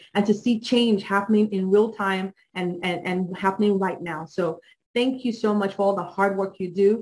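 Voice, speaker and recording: A woman's somewhat breathy voice at medium pitch, moderate pace and fairly even intonation. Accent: slight Nigerian. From Nigeria. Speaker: judicial candidate. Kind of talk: campaign speech.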